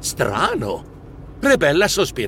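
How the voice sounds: A slow, fairly bright put-on character voice with very wide pitch swings. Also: man, medium pitch for a man.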